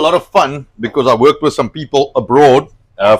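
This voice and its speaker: At a fairly quick pace, a man with a South African accent speaks at a fairly high pitch with ordinary pitch variation, in a dry, close sound with no echo. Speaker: online show host. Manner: hesitant, many fillers.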